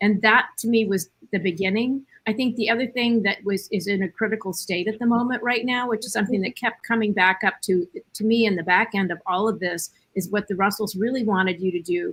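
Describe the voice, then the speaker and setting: In a normal speaking voice, a woman talks at a fairly quick pace in a medium pitch with fairly even intonation. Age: 60s. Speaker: panelist. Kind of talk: panel discussion.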